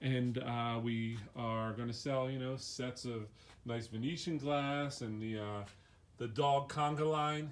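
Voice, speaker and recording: His fairly even intonation carries an unremarkable speaking voice. The man talks at a medium pitch. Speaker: auction house walkthrough presenter. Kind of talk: casual walkthrough tour. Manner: casual, conversational.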